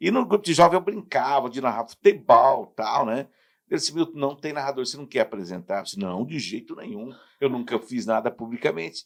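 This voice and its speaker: A man speaks at a fairly quick pace with vocal fry and a fairly high pitch. His pitch swings very widely and his loudness shifts a lot. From southern Brazil, Paraná. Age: 60s. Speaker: radio announcer and sports commentator. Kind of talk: casual interview chat.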